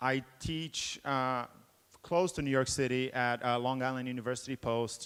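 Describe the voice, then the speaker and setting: A man at a middling speed, with an unremarkable speaking voice pitched fairly high. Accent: American. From Brazil until 12, then Boston, US. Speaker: game developer and professor. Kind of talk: conference talk. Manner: many filler 'uh's.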